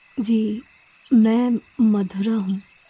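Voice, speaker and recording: This cartoonish character voice sits at a fairly high pitch. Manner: sweet, coy, then menacing.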